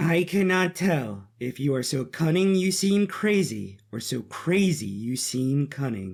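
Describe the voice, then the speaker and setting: In a put-on character voice, a man talks at a fairly slow pace with hardly any pauses and a fairly high pitch. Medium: audio drama. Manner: composed, calculating.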